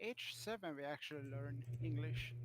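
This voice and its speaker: Speech comes at a very slow pace. It carries a strong Swedish accent. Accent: thick Swedish. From Sweden. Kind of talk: casual chat.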